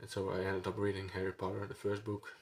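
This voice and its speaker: A man speaks with a Dutch accent at a fairly low pitch. His voice is somewhat breathy. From Netherlands. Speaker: book vlogger. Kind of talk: casual vlog monologue. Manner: halting, many fillers.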